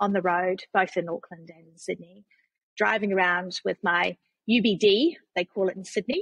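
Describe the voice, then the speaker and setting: Fairly even intonation marks this voice with a New Zealand accent, heard in a dry, close sound with no echo. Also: woman. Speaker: non-profit CEO and tech consultant. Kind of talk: podcast interview.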